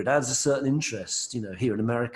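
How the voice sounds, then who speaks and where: A man with an English accent talks at a very fast pace, his pitch varying in an ordinary way. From England, London. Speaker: singer-songwriter. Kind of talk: interview.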